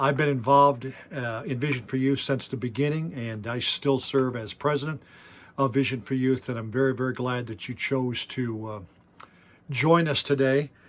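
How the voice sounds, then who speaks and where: A man talks at a moderate pace and medium pitch in an unremarkable speaking voice with fairly even intonation. The recording is very clean with a silent background. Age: 60s. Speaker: youth pastor. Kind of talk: workshop talk.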